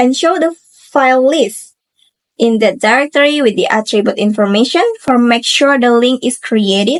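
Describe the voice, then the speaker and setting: A woman with an Indonesian accent talks at a moderate pace with a high pitch. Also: ordinary pitch variation. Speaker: university student. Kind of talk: tutorial presentation. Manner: halting.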